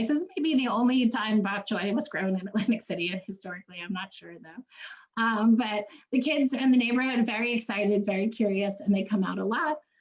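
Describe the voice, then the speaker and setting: Against noticeable background noise, a woman with a New York accent speaks at a fairly quick pace with ordinary pitch variation. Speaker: community garden organization founder. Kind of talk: conference panel presentation. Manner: fast.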